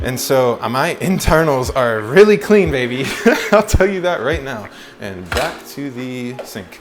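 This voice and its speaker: Over music in the background, a man speaks at a fairly slow pace with a medium pitch. His pitch swings very widely and his loudness shifts a lot. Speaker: vlogger. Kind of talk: casual chat. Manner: halting.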